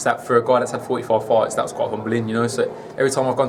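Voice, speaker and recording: Music plays in the background as a man with a Birmingham accent talks at a very fast pace. His pitch is medium and his intonation monotone and flat. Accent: British (Birmingham). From England, Birmingham. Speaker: kickboxer making boxing debut. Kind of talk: interview.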